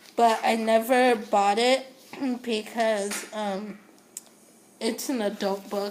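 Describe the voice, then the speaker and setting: A woman's words come at a very slow pace, her pitch varying in an ordinary way, while noticeable background noise sounds behind her. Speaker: book vlogger. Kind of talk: casual talk to camera.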